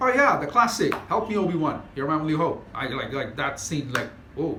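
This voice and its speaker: Amid noticeable background noise and audible room echo, a man with a fairly high pitch talks at a moderate pace in an animated tone with very wide pitch swings. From non-Western developing country. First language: not English (native language). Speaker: YouTuber. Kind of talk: casual monologue.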